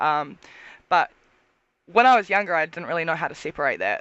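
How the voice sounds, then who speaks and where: A woman speaks with a New Zealand accent. Her intonation is lively. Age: 20s. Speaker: cosplayer and tattoo model. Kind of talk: casual chat.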